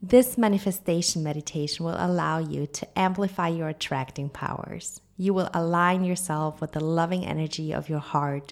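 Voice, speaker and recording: This woman has an ordinary speaking voice at a fairly low pitch. She talks at a moderate pace with ordinary pitch variation. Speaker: life coach and yoga teacher. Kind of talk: guided meditation. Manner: calm, dreamy, with long pauses.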